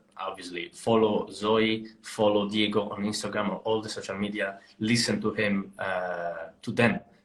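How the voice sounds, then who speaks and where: With an Italian accent, a man talks at a moderate pace in a fairly low pitch over noticeable background noise. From Italy. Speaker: podcast host. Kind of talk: casual chat. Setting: live online stream.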